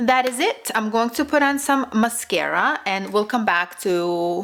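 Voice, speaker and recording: At a very slow pace, a woman with a Russian accent talks in a fairly high voice with lively intonation. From Russian-speaking immigrant family, raised speaking Russian. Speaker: beauty youtuber. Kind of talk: makeup tutorial and product review. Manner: casual, hesitant with fillers.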